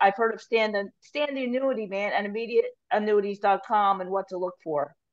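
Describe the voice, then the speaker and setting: Speaking at a fairly quick pace, the woman has an ordinary speaking voice. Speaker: co-moderator reading chat questions. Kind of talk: reading questions aloud. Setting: video call.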